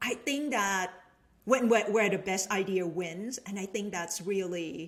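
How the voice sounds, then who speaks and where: Fairly slow speech with a Thai accent and ordinary pitch variation. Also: woman. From Thailand, Bangkok. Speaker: venture capitalist and business professor. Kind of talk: casual chat.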